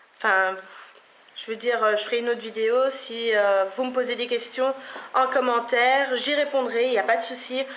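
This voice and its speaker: A woman with a Belgian accent talks in a high pitch with fairly even intonation. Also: moderate pace. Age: 20s. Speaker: beauty vlogger. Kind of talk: casual vlog to camera. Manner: hesitant, many fillers.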